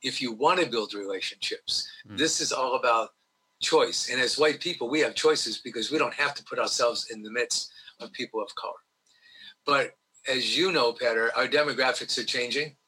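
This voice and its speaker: A man talks at a fairly quick pace with a New York accent. His loudness swings widely. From New York (Brooklyn, Long Island). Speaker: diversity trainer, retired teacher. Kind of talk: interview.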